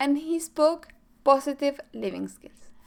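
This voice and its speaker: A woman with a Chilean accent speaks at a high pitch. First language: Spanish. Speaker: mental performance coach. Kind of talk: scripted presentation.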